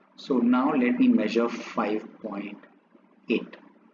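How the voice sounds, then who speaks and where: Very wide pitch swings from a man, over noticeable background noise. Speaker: maths teacher. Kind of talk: tutorial. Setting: drawing on a laptop. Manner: slow.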